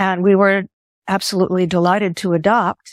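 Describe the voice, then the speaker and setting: Recorded very cleanly against a silent background, with a dry, close sound and no echo, a woman speaks at a fairly slow pace. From US Midwest, Chicago. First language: Greek. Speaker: author and lawyer. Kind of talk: interview.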